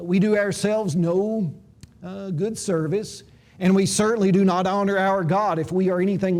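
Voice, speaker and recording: Heard with audible room echo, a man with a high pitch and a dark, mellow tone talks at a moderate pace with fairly even intonation. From Tennessee, Jackson County. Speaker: Bible school lecturer. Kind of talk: lecture. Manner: hesitant with frequent 'uh' fillers; formal.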